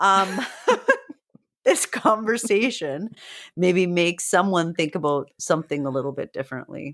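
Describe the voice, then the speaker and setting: Over a very clean recording with a silent background, a woman speaks at a fairly low pitch with lively intonation. Her moderate pace is broken by long, frequent pauses. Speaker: teacher and podcast co-host. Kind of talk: casual chat.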